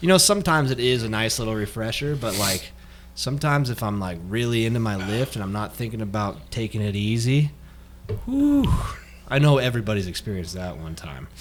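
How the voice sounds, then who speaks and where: Using an unremarkable speaking voice, a man talks at a medium pitch and fairly quick pace with lively intonation. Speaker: fitness podcast co-host. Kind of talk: casual chat. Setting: studio with headphones and mics.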